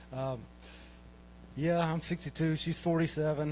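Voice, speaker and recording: The speaker is a man with a Southern US accent. He keeps to a moderate pace. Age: 60s. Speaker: amateur comedian. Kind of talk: stand-up. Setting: stage with audience. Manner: halting.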